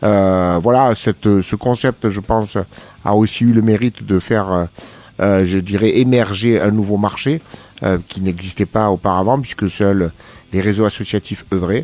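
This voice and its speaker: A fairly low-pitched man, fairly slow pace, fairly even intonation. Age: 50s. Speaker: business founder, wheelchair user. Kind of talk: radio interview. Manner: hesitant, many fillers.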